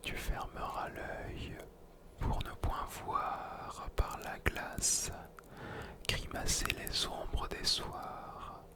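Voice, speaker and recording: Very slow, whispering male speech full of long, frequent pauses, over noticeable background noise. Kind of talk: poetry reading. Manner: whispered.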